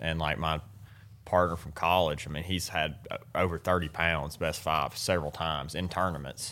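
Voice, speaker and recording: Speaking at a moderate pace with an Alabama accent, a man with a very deep, low voice keeps a monotone, flat intonation. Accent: Southern US (Alabama). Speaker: professional bass angler. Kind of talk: casual interview.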